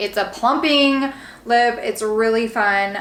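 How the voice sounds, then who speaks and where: A woman's fairly high voice with ordinary pitch variation, amid audible room echo and noticeable background noise. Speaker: beauty vlogger and real estate agent. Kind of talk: makeup tutorial. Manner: animated.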